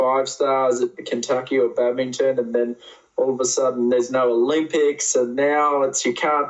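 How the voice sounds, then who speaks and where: Speaking at a medium pitch, a man keeps a monotone, flat intonation. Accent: Australian. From Australia. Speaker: event rider. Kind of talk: interview.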